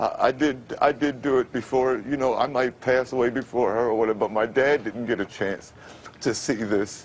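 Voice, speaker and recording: An unremarkable speaking voice from a man with an American accent, medium pitch, moderate pace and fairly even intonation. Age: 50s. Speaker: formerly homeless radio announcer. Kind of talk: TV interview answer.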